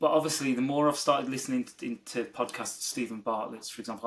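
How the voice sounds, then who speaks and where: A man is speaking. His pace is very fast. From West Midlands, England (Dudley). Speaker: business executive. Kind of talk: interview conversation. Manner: halting, frequent repetitions; enthusiastic, animated.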